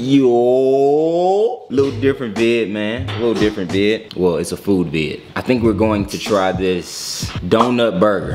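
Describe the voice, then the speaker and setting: Clear music sounds behind a man speaking at a fairly slow pace. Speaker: vlogger. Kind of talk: casual vlog chat. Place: home room. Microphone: phone near.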